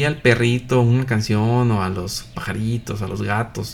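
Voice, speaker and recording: A man talks in a somewhat breathy voice. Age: 50s. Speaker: Messianic religious teacher, physician. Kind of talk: live religious broadcast talk. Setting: live online broadcast. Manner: hesitant, many filler 'eh'.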